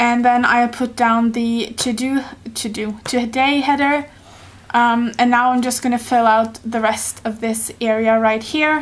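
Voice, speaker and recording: A woman with a Norwegian accent speaks at a high pitch in a monotone, flat intonation. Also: fairly slow pace. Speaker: YouTuber, planner hobbyist. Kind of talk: tutorial. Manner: hesitant, many fillers.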